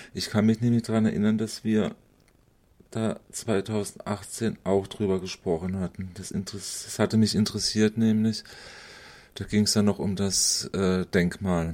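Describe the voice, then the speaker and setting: A man speaks at a fairly slow pace in a fairly low, dark and mellow voice with monotone, flat intonation. The recording is very clean, with a silent background. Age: 50s. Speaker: interviewer. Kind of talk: interview.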